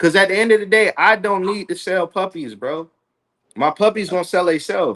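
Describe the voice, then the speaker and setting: Loud and animated, a man speaks fairly quickly in a high voice with ordinary pitch variation. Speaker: dog breeder. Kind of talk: casual chat. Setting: livestream.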